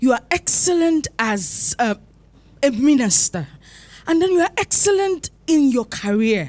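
A woman speaks at a high pitch with very wide pitch swings. Her pace is fairly slow. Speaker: fashion designer in audience; audience member. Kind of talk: audience question. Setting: church conference with audience. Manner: halting. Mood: admiring, earnest. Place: hall. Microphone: handheld.

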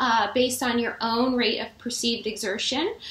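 A woman speaks at a high pitch and a moderate pace. Audible room echo surrounds her voice. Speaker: fitness instructor. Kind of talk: casual vlog chat. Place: home room. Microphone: webcam.

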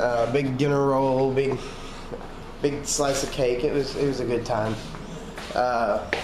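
A man speaks in a monotone, flat intonation at a fairly slow pace with very even loudness. Noticeable background noise runs underneath. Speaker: vlogger. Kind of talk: casual vlog chat.

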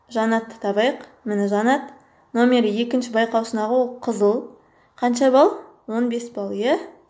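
A woman with an ordinary speaking voice and fairly high pitch talks at a moderate pace. Her pitch varies in an ordinary way. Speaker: math teacher. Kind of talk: tutorial.

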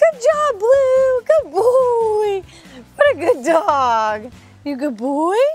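Clear music plays behind a put-on character voice that is extremely high, swings very widely in pitch and moves very slowly. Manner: positive, happy, praising.

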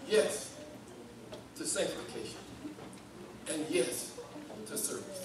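A man talks fairly slowly, his words carrying audible room echo amid noticeable background noise. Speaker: preacher. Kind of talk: sermon. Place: church.

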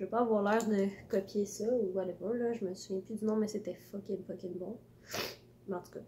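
A woman's somewhat breathy, dark, mellow voice in a Quebec accent, fairly high in pitch, with monotone, flat intonation over light background noise. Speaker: vlogger. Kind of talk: casual talk to camera. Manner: halting, rambling. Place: home room. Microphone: phone near.

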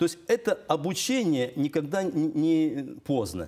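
A man's fairly high pitch with very wide pitch swings. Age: 60s. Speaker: father of a large family, homeschooling parent; talk show guest. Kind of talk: studio talk show debate. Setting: TV studio. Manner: animated. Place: studio.

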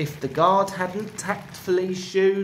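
The speaker is reading aloud. The delivery is plain.

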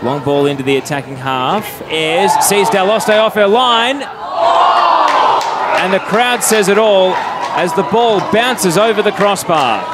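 Over crowd noise in the background, a man talks in an animated tone at a high pitch with hardly any pauses. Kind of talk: live sports commentary. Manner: fast, clipped play-by-play delivery; animated, rising excitement on goals.

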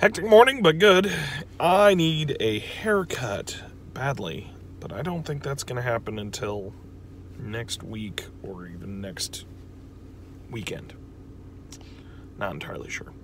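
Amid noticeable background noise, a man speaks at a fairly slow pace with long, frequent pauses, very wide pitch swings and big swings in loudness, in a dry sound with no echo. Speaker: vlogger. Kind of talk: casual vlog chat. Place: car. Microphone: phone near.

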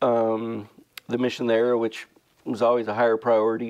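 Fairly quick pace from a man, quiet background behind him. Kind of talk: interview answer. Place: studio. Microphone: lapel.

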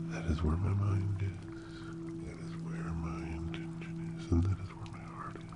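A man speaking at a moderate pace with long, frequent pauses amid loud background noise. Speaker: ASMR creator. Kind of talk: ASMR guided relaxation and affirmations. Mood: warm, reassuring. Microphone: studio mic.

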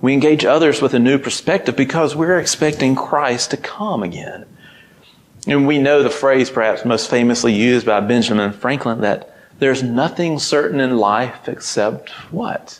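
A man's medium-pitched voice with a Southern US accent, ordinary pitch variation and light background noise. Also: moderate pace. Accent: Southern American. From Mississippi, USA. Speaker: ministry intern, preacher. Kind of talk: sermon. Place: church. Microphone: lapel.

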